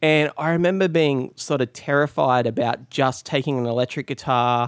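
A man with an Australian accent speaks at a fairly high pitch with ordinary pitch variation, in a very clean recording with a silent background and a dry, close sound with no echo. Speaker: guitarist. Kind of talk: interview.

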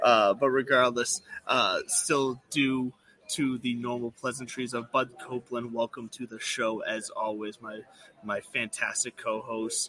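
A man talks at a fairly slow pace and medium pitch, his intonation fairly even. The sound is dry and close with no echo, though background noise is noticeable. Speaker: podcast host. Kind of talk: casual banter about golf betting.

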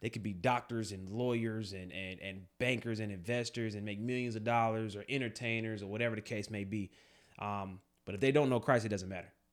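An ordinary speaking voice from a man, fairly low in pitch, with fairly even intonation, on a very clean recording with a silent background. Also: fairly quick pace. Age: 30s. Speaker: podcast co-host, army veteran and police officer. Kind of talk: casual chat.

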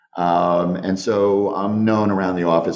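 Fairly even intonation from a man, with audible room echo. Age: 50s. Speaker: company CEO and founder. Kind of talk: interview. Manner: halting.

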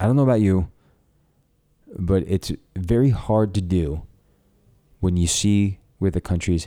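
Over a very clean recording with a silent background, a man speaks with an American accent at a moderate pace. His fairly low voice has a dark, mellow tone and ordinary pitch variation. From New York. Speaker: podcast host. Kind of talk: political commentary monologue. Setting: studio.

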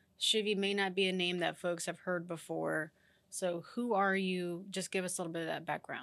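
Medium in pitch, a woman's voice stays monotone and flat. She keeps a moderate pace. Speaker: podcast host. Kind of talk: interview.

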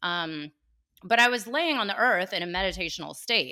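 Animated and bright with a sharp tone, a woman with a West Coast American accent speaks with lively intonation in a very clean recording with a silent background. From California, Bay Area (Cupertino). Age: 40s. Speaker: podcaster and coach. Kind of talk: casual interview chat.

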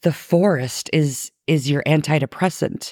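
Very deep and low in pitch, a woman speaks at a very slow pace in a calm tone. Her pitch variation is ordinary, and the sound is dry and close with no echo. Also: very clean recording, silent background. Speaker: podcast host. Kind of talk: scripted-style solo podcast narration, casual. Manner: trying to sound calm and free flowing, laughs often.

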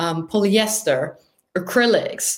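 A woman speaks with a German accent and ordinary pitch variation. The room echo is audible. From northern Germany. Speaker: marine researcher. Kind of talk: casual interview.

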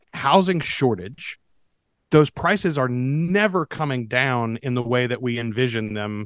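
Over a quiet background, a man with an American accent and a normal speaking voice speaks with lively intonation. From US South. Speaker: podcast producer. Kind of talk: casual chat.

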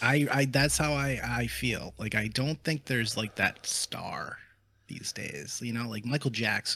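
Speaking at a fairly slow pace, a man with a bright, sharp tone and vocal fry is heard on a very clean recording with a silent background. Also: medium pitch for a man, ordinary pitch variation. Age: 30s. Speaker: content creator and musician. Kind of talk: casual chat.

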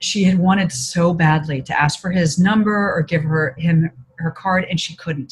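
Her voice is an unremarkable speaking voice, fairly low for a woman, with ordinary pitch variation. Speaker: author and consultant. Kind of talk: interview.

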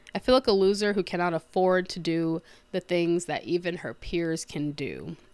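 With an American accent and an unremarkable speaking voice, a woman talks at a moderate pace and fairly low pitch with ordinary pitch variation on a very clean recording with a silent background. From United States. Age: 20s. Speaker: podcast host, entrepreneur. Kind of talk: scripted monologue.

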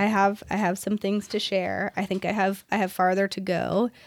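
A woman at medium pitch and moderate pace, recorded very cleanly against a silent background. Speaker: podcast host. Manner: soft-spoken.

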